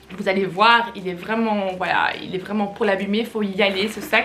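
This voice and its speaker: A woman at a medium pitch and a fairly slow pace, with noticeable background noise. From Belgium, Flemish. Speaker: fashion YouTuber. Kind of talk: casual haul video talk. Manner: chatty, hesitant with many fillers.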